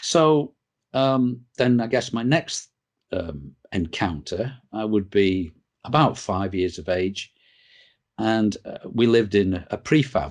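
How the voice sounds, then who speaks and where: A man with a northern English accent speaks at a very slow pace, with long, frequent pauses. His pitch is fairly low, his intonation lively, and the background quiet. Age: 60s. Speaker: interviewee on UFO experiences. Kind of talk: interview. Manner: halting, many fillers.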